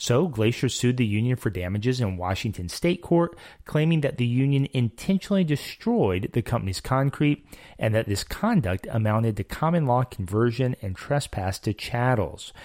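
A man with a medium pitch speaks at a moderate pace with lively intonation. The recording is very clean, dry and close, with no echo and a silent background. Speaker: legal podcast co-host. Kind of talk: interview and legal discussion.

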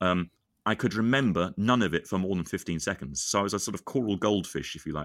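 Speaking very fast at a fairly low pitch, a man shows ordinary pitch variation on a very clean recording with a silent background. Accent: British. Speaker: singer and composer. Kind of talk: casual chat.

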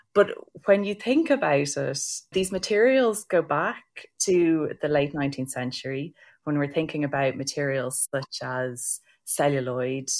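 A woman with an Irish accent speaks at a fairly slow pace, her very deep, low pitch showing ordinary variation. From Ireland. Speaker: heritage science researcher. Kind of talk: panel discussion.

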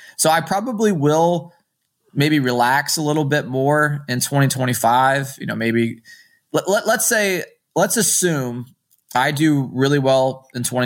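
In a very clean recording with a silent background, a man with fairly high pitch speaks at a fairly slow pace with lively intonation. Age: 30s. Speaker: marathon runner. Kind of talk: casual chat.

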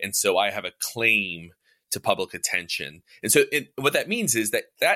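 A man's voice, dry and close with no echo. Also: very clean recording, silent background. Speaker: podcast host and editor. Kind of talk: casual panel discussion.

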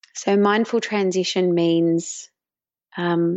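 Here a woman speaks in an Australian accent. Her pitch sits in the medium range. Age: 30s. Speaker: mindfulness teacher. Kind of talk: interview.

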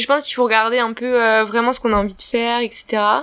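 Her pitch is fairly high for a woman. She keeps a fairly even intonation. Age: 20s. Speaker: young business owner. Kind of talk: casual interview.

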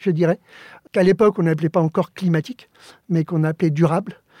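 This man has a high voice and a dark, mellow tone, heard in a dry, close sound with no echo. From Spain, Alicante; raised in Paris suburbs from age 7. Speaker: architect. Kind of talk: interview. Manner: halting, frequent repetitions.

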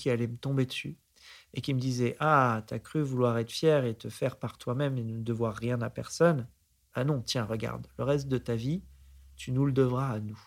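The speech moves at a fairly slow pace with fairly even intonation. The recording is very clean, with a silent background. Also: man. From France, Aix-en-Provence area. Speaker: investor. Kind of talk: interview. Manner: halting.

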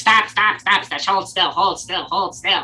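A put-on character voice at middle pitch and moderate pace, with faint music in the background. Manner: shouting, commanding.

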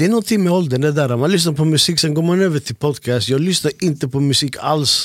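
A man in an ordinary speaking voice, fairly high in pitch with ordinary variation, at a fairly quick pace with hardly any pauses. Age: 30s. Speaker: podcast host and music producer. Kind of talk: casual chat.

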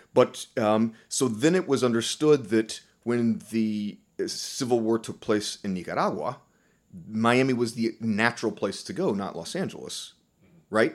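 This is an ordinary speaking voice in an American accent, with ordinary pitch variation at a fairly slow pace. The recording is very clean, with a silent background. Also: man, medium pitch for a man. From US South. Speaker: professor of linguistics. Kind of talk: interview.

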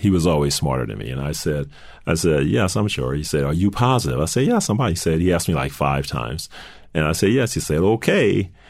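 Talking at a very fast pace with an American accent, a man uses a very deep, low pitch, lively intonation and vocal fry. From US South, New Orleans. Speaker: corporate CEO. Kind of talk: interview.

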